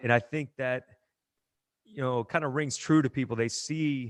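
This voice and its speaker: A man speaks at a medium pitch with fairly even intonation. His is an unremarkable speaking voice. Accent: American. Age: 40s. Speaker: gym owner and strength coach. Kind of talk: casual interview chat.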